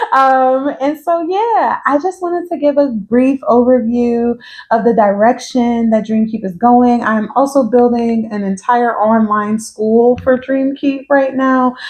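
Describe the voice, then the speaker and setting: A woman with an American accent speaks in a high pitch with ordinary pitch variation and a relaxed tone. Her pace is fairly slow, with hardly any pauses. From New York, the Bronx, partly Georgia. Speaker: social worker and consultant. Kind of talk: casual vlog introduction. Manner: relaxed, conversational.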